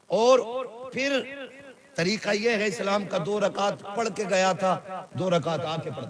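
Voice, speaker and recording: There is noticeable background noise as a man speaks. His voice is high, with ordinary pitch variation. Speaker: Islamic scholar giving a sermon. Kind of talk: Islamic reformist sermon (bayan). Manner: passionate, scolding, humorous.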